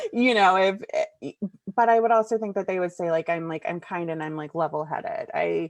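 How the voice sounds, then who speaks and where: In an American accent, a woman with an unremarkable speaking voice talks at a moderate pace and medium pitch. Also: ordinary pitch variation. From Cincinnati, Ohio, US Midwest. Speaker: community manager. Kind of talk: interview.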